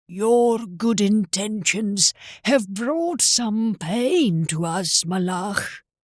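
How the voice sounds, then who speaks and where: The recording is very clean, with a silent background. A put-on character voice at fairly high pitch moves along at a very slow pace. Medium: read story. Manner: warm, kindly, wise.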